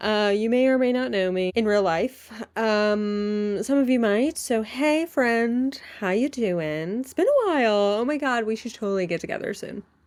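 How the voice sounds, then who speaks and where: With noticeable background noise behind her, a woman speaks at a moderate pace. Her fairly high voice has an animated tone. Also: ordinary pitch variation. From US, upstate New York. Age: 30s. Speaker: podcast host. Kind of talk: casual podcast monologue.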